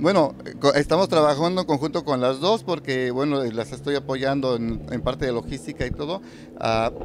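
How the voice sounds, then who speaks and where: The sound is dry with no echo as a man talks over noticeable background noise. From Mexico, Michoacán. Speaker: poet and reciter. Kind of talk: casual interview. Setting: live community event. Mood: warm, smiling. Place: hall. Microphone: handheld.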